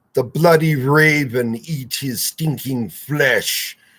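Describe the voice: A man puts on a growling character voice, fairly high in pitch. He speaks at a very slow pace.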